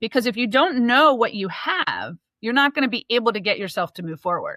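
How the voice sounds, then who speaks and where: Fairly high in pitch and fairly quick, a woman talks with lively intonation in an unremarkable speaking voice. The sound is dry and close, with no echo. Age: 50s. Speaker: podcast host and accountant. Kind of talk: casual interview chat.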